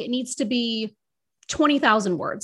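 A normal speaking voice with an American accent, lively intonation and fairly quick pace, in a very clean recording with a silent background. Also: woman. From United States. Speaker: author and publishing strategist. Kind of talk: casual interview chat.

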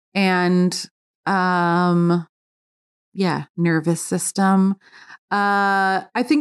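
A woman speaks with an American accent against a quiet background. Her pitch sits in the middle range. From New York. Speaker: food editor and cookbook author. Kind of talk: casual interview. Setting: at home.

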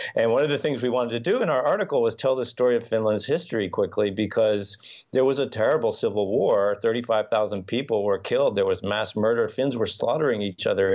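This man has an ordinary speaking voice with an American accent, medium pitch, ordinary pitch variation and very even loudness, moving at a fairly quick pace with hardly any pauses. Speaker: journalist and author. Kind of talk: interview.

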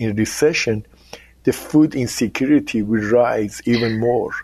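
A man speaks with a Persian accent. His pace is fairly slow. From Iran. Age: 60s. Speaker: business executive. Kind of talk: interview.

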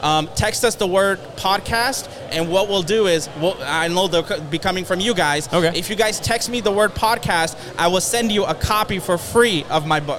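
Music plays in the background as the speaker moves at a moderate pace with hardly any pauses. The pitch varies in an ordinary way. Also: man, high pitch for a man. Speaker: real estate entrepreneur and motivational speaker. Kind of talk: interview. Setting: studio.

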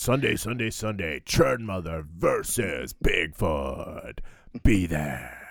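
In a put-on character voice, a man speaks very slowly at a very deep, low pitch, with long, frequent pauses. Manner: booming, hyped-up.

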